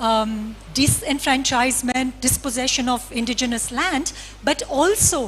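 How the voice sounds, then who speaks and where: With music in the background, a woman talks fairly slowly in a high voice with ordinary pitch variation. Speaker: philosopher, conference speaker. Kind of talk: lecture.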